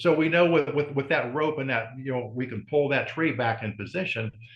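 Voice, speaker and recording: A man with a plain, everyday voice and an American accent speaks at a moderate pace with lively intonation. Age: 60s. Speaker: strongman and breathing coach. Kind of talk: interview.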